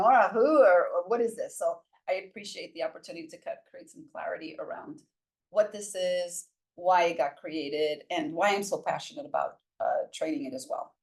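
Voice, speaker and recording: A woman with a New York accent speaks at a moderate pace and medium pitch, with very wide pitch swings and big swings in loudness. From Brooklyn, New York (Puerto Rican). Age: 60s. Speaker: workshop facilitator and transformational coach. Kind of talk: casual interview conversation.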